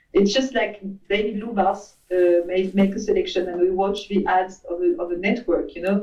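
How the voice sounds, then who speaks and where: A woman speaks in a French accent at a moderate pace. Her tone is dark and mellow, her intonation fairly even. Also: medium pitch for a woman. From France. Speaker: advertising agency CEO. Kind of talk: interview.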